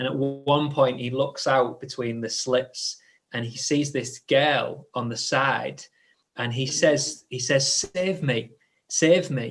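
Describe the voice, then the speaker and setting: A man's medium-pitched, somewhat breathy voice, very slow in pace, with ordinary pitch variation. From northern England, Hull. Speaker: church leader hosting discussion. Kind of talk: live group discussion. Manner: halting, many fillers and restarts.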